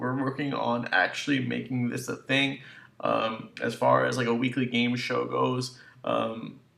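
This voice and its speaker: Noticeable noise is present behind the voice. A man delivers his words fairly slowly. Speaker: gaming YouTuber. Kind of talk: casual talk to camera.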